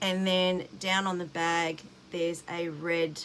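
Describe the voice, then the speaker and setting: A woman mumbles in an Australian accent at a very slow pace. Her pitch is fairly low. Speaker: cross-stitch vlogger. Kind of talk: casual show-and-tell vlog. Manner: words running together, slightly mumbled; chatty, hesitant with fillers.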